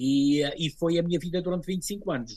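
A somewhat breathy man's voice. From Azores, São Miguel. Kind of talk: interview.

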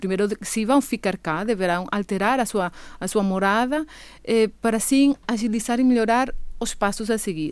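This woman has a Venezuelan accent and a fairly high pitch. She speaks at a moderate pace with ordinary pitch variation. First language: Spanish (speaking Portuguese). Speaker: immigrant association representative. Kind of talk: radio interview. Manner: halting, many fillers.

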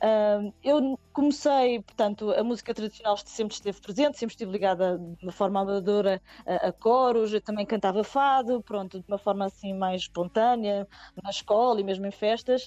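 A woman's plain, everyday voice at a moderate pace and medium pitch, with ordinary pitch variation and a dry, close sound with no echo. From Portugal, Nazaré. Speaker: singer and multi-instrumentalist. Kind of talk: radio interview. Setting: remote call via messaging app.

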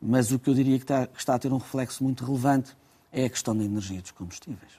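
A man's voice at medium pitch carries a dark, mellow tone. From Portugal. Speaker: transport company president. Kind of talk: radio interview. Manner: halting, frequent repetitions.

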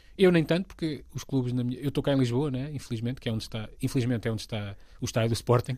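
Speaking at a very fast pace, a man uses a medium pitch with ordinary pitch variation and a dark, mellow tone. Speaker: comedy writer and voice actor. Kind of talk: casual interview.

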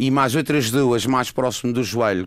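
A normal speaking voice at a moderate pace, with fairly even intonation. The recording is very clean, with a silent background. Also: man. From Madeira, Portugal. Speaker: orthopedic surgeon. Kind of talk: radio panel discussion.

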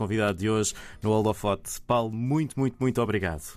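Recorded very cleanly against a silent background, a man talks with a European Portuguese accent and ordinary pitch variation. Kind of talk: interview.

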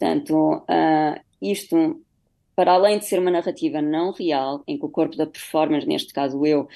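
At medium pitch, a woman with a dark, mellow tone talks at a moderate pace over a quiet background. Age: 30s. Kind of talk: radio interview. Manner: halting.

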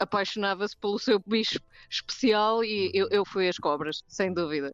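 A woman's voice, dry and close with no echo, against a quiet background. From South Africa. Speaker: biologist and scientific illustrator. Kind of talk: radio interview. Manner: halting, many fillers.

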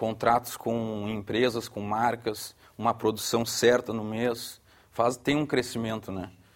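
Spoken at a fairly slow pace with a Brazilian accent, the voice stays monotone with flat intonation. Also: man. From southern Brazil, Porto Alegre. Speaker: surfboard company director. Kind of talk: studio discussion.

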